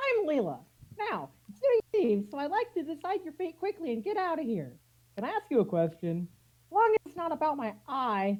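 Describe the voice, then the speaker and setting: A woman's put-on character voice, high-pitched, with very wide pitch swings and a fairly quick pace. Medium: stage play. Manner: brisk, businesslike.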